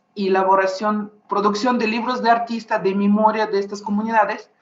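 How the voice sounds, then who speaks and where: Monotone, flat intonation from a medium-pitched woman with a Russian accent, at a moderate pace. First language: Russian (speaking Spanish). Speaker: visual artist. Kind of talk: panel discussion. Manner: halting.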